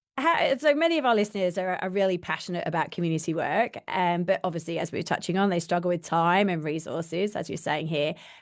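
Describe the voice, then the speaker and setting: Someone with a British accent speaks at a very fast pace, with hardly any pauses. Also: woman, fairly low pitch for a woman, ordinary pitch variation. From UK. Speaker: podcast host. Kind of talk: interview.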